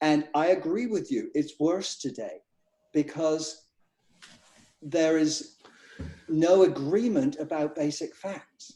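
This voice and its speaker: A man with an English accent, a fairly high pitch and a dark, mellow tone, speaking very slowly with long, frequent pauses. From England. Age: 60s. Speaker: financial divorce consultant. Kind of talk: casual panel discussion.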